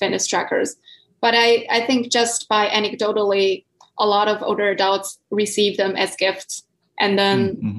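With a Chinese accent, a woman speaks at a medium pitch and a moderate pace. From southern China. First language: Mandarin Chinese. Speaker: PhD researcher. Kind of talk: podcast interview. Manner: halting.

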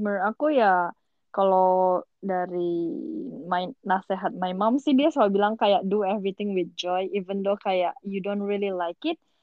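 Talking at a fairly slow pace, a woman with an unremarkable speaking voice keeps a medium pitch with ordinary pitch variation. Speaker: podcast co-host. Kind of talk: casual chat.

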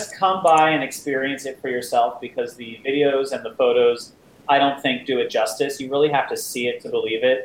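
A man with an American accent, fairly high in pitch, at a fairly quick pace, with ordinary pitch variation, big swings in loudness and noticeable background noise. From New Jersey. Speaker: games convention founder. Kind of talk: interview.

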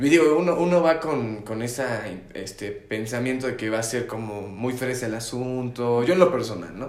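The voice has ordinary pitch variation and a Mexican accent. Audible room echo and noticeable background noise surround it. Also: man, medium pitch for a man, moderate pace. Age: 20s. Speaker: podcast co-host. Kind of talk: casual chat. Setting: at home.

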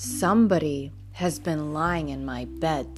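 A put-on character voice at a low-to-middle pitch moves at a fairly slow pace over clear music in the background.

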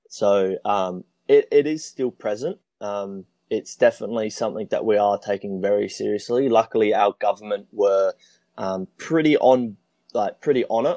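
A man with an Australian accent talks at a moderate pace, the sound dry and close with no echo over a quiet background. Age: 20s. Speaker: traveler. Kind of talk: casual chat.

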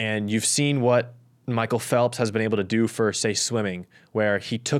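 This man has an unremarkable speaking voice with fairly even intonation. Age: young. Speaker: Paralympic athlete. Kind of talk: casual chat.

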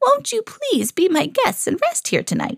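In a dry, close sound with no echo, a woman puts on a character voice at an extremely high pitch, with very wide pitch swings, vocal fry and a fairly slow pace.

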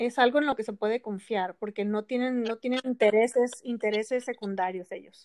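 At a moderate pace and with hardly any pauses, a woman talks with fairly even intonation in a dry, close sound with no echo. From Ensenada, Baja California, Mexico. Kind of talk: casual interview.

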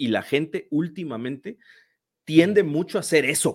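A man with a Mexican accent and a fairly high pitch speaks at a fairly slow pace in a very clean recording with a silent background. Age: 30s. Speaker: football YouTuber. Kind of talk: casual chat.

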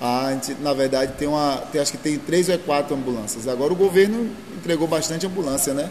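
Against noticeable background noise, a man with a fairly high pitch talks at a very fast pace with ordinary pitch variation. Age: 30s. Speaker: local politician. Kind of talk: interview.

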